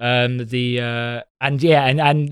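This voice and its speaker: At a medium pitch, a man with an Essex accent speaks with fairly even intonation, the sound dry and close with no echo. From Essex, England. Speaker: comedian. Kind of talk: casual chat.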